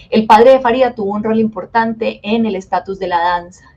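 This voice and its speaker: Here a woman talks at a medium pitch. Her intonation stays fairly even. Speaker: dance teacher. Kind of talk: webinar lecture. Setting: live online webinar. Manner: fast.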